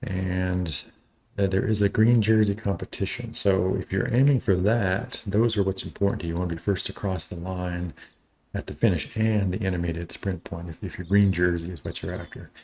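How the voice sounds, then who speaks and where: A man with a very deep, low, dark and mellow voice speaks at a moderate pace in an American accent, somewhat breathy and with fairly even intonation. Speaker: cycling race streamer. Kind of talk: live commentary. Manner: halting.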